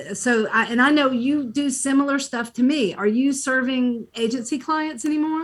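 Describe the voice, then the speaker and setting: A high-pitched woman at a moderate pace, with ordinary pitch variation, hardly any pauses, and noticeable background noise. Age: 60s. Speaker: workshop participant and business owner. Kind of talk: casual chat.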